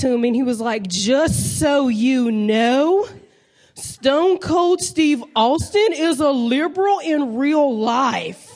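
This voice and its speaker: In a Southern US accent, a woman speaks very slowly with very even loudness. Her pitch is high and her intonation lively. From US South, North Carolina. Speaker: stand-up comedian. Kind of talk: stand-up. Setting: stage with audience.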